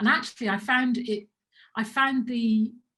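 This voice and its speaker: A woman with a somewhat breathy voice speaks at a moderate pace with fairly even intonation. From Birmingham, England. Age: 50s. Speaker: business owner. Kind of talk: talk to camera. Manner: halting, many repetitions.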